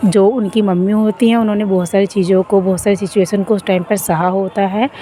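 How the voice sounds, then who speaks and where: Breathy and fairly even in intonation, a woman's voice carries over noticeable background noise. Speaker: spiritual guide. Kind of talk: spiritual self-help talk. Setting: outdoors, walking. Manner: breathy, recorded while walking; unscripted, casual.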